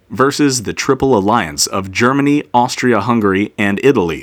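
On a very clean recording with a silent background, a man in an ordinary speaking voice talks at a moderate pace, fairly low in pitch, with lively intonation. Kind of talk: history documentary narration, scripted daily-history segment. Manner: measured, steady and formal, like an authoritative narrator; clear, even-paced, serious in tone.

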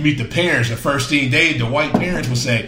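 A man with a medium pitch speaks with audible room echo. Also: fairly bright tone.

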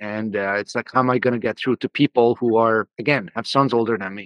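A man at medium pitch with fairly even intonation and an unremarkable speaking voice. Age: 30s. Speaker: founder of a men's coaching program. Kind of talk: interview.

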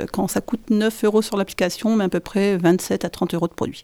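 A woman speaks at a moderate pace with a medium pitch. Her tone is dark and mellow, with ordinary pitch variation. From northern France. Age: 50s. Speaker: bakery manager. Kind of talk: interview.

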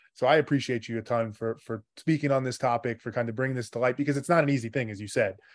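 A man at medium pitch rushes at a very fast pace with hardly any pauses and fairly even intonation. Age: 30s. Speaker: podcast host. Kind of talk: interview.

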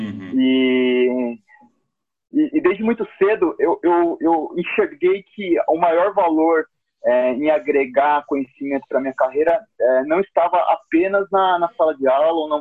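Using an ordinary speaking voice, a man talks fairly slowly at a fairly high pitch with lively intonation. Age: 30s. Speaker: account manager. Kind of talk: casual interview.

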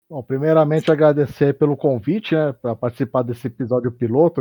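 A man's fairly quick delivery in an unremarkable speaking voice, with ordinary pitch variation. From São Paulo, Brazil. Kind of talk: casual chat.

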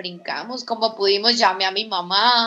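This woman's bright, sharp tone comes with monotone, flat intonation. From Colombia, Villavicencio (Meta). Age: 20s. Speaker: former Olympic gymnast and coach. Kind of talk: testimony.

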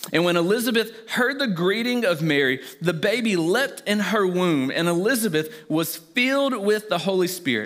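This man speaks with a Southern US accent at a high pitch, using lively intonation and very even loudness, leaving hardly any pauses against noticeable background noise. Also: moderate pace. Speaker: pastor. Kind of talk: sermon. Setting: church.

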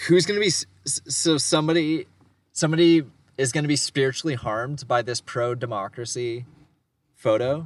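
Moderate speed and ordinary pitch variation in an ordinary speaking voice. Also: man, fairly high pitch for a man. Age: 20s. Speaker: podcast co-host. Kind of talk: casual chat.

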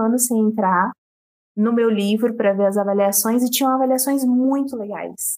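A woman's high-pitched voice, dark and mellow in tone, at a moderate pace with ordinary pitch variation. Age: 20s. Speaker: independent novelist. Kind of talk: interview.

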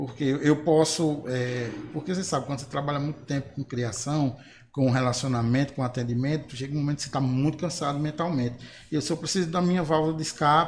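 Talking at a very fast pace, a man sounds somewhat breathy. His pitch is fairly high and his intonation fairly even. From Bahia, Brazil (Marizal). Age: 30s. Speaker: singer and graphic designer. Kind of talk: panel discussion.

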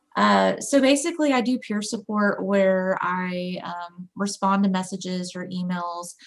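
Speaking at a fairly slow pace, a woman uses an unremarkable speaking voice of medium pitch with ordinary pitch variation. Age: 30s. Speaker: peer support specialist and graphic designer. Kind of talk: casual interview.

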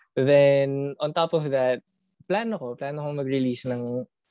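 The man's tone is dark and mellow, with ordinary pitch variation. The sound is dry and close, with no echo. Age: young. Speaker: indie music artist. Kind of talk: casual chat. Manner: halting, stuttering.

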